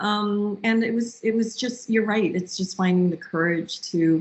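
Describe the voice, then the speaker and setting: A woman talks with ordinary pitch variation. Her voice is somewhat breathy. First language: not English. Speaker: marketing executive. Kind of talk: interview.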